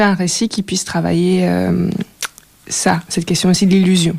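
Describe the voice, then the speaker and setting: A woman speaks in a medium pitch at a moderate pace. Noticeable background noise sits behind her. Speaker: filmmaker and sound artist. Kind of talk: radio interview. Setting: radio studio. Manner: hesitant, many fillers.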